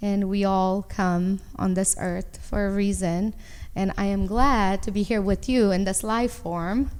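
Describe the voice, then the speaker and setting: A woman with a Romanian accent, medium in pitch, fairly slow and fairly even in intonation. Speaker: entrepreneur. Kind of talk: interview.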